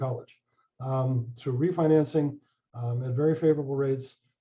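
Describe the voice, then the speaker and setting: Speaking at a moderate pace with fairly even intonation, a man sounds somewhat breathy. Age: 70s. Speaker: real estate lawyer. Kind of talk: presentation to homebuyer class. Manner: halting, many fillers.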